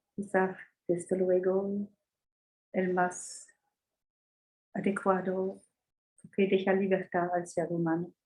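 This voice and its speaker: A woman with a non-native accent speaks very slowly in a medium pitch and a dark, mellow tone, her intonation monotone and flat. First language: not Spanish (speaking Spanish). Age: 80s+. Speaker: astrologer. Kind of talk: interview. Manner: halting.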